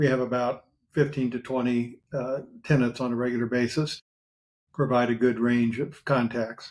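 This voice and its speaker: The speaker has an American accent and talks at a moderate pace. The intonation stays monotone and flat. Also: man, medium pitch for a man. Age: 70s. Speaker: lawyer. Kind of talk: interview. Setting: podcast.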